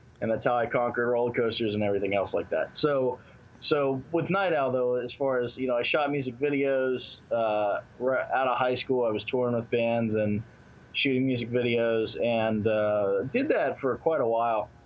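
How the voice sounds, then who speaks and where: This man has an ordinary speaking voice, medium in pitch, with fairly even intonation at a moderate pace. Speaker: film producer and director. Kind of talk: casual interview.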